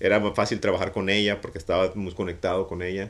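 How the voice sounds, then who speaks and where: The delivery is very fast and monotone, with flat intonation throughout. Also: man. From Mexico, Mazatlán; Mexico. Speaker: art director and street artist; interview guest. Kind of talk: casual interview. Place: office. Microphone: studio mic.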